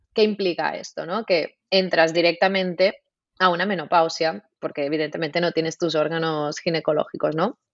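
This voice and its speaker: With fairly even intonation, a woman speaks in a normal speaking voice at a fairly low pitch and a moderate pace. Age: 30s. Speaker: naturopath and nutritionist. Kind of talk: interview.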